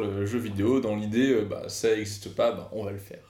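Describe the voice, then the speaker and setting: With audible room echo, a man speaks at a moderate pace with ordinary pitch variation. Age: 30s. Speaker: podcast co-host, game developer. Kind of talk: casual chat.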